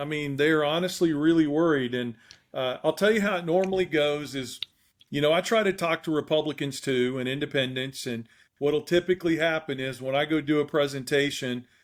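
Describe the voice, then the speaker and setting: A man's fairly high voice with ordinary pitch variation at a fairly quick pace. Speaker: rural policy advocate. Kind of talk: casual chat. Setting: podcast recording. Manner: animated.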